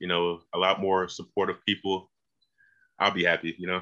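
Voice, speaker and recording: A man speaks with a Georgia accent. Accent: US Southern (Georgia). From rural Georgia near Macon, US South. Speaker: music video director. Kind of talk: casual interview.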